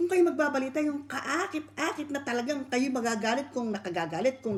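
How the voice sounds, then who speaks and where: A woman at a high pitch and fairly quick pace. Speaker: online video commentator ranting about news broadcasters. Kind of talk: angry rant scolding news presenters, sarcastic lecture. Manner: scolding, indignant, emphatic, repeating 'di ba?' for emphasis.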